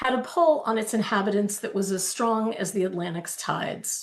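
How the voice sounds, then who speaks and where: A woman with an American accent speaks at a moderate pace and a fairly high pitch in an unremarkable speaking voice. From New Jersey, Keyport (Jersey Shore). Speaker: novelist. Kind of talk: reading aloud.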